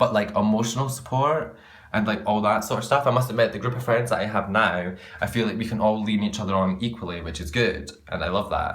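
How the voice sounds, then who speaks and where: With audible room echo, a man talks at a very fast pace in an animated tone and a fairly low pitch. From Scotland. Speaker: vlogger. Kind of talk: casual rant to camera.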